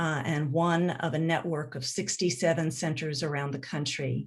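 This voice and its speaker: At a moderate pace, an ordinary speaking voice carries fairly even intonation. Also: woman. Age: 60s. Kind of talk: panel introduction.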